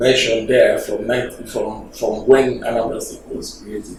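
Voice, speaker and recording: Fairly slow male speech amid noticeable background noise and audible room echo. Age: 60s. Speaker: government official. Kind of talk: TV interview. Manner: halting, many fillers.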